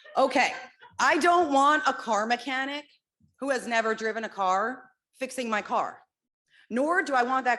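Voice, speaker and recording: Loud and high-pitched, a woman speaks with an American accent in a bright, sharp tone. Her pitch varies in an ordinary way against a quiet background. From New Jersey. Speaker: parent at public comment. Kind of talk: public comment at school board meeting.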